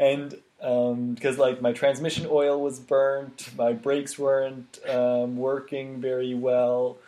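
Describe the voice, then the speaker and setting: A man's very slow, monotone speech at medium pitch with flat intonation and hardly any pauses, over noticeable background noise. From Switzerland. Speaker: physical therapist. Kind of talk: casual interview.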